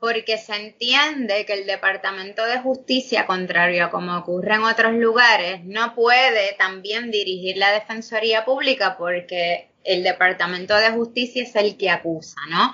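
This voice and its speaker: At a fairly slow pace, a woman uses an ordinary speaking voice, fairly high in pitch with ordinary pitch variation. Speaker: public defense lawyer and law professor. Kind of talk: interview.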